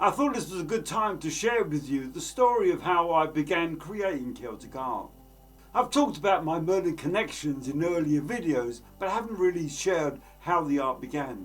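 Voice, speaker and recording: Music plays in the background as a man with a high pitch talks at a moderate pace with lively intonation. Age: 70s. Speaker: artist. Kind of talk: personal storytelling.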